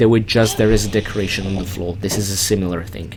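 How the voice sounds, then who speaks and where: A man talks at a fairly quick pace with a non-native accent. Noticeable background noise sits behind him. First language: not English. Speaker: video game let's play host. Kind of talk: game walkthrough commentary. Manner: casual, conversational; halting with fillers.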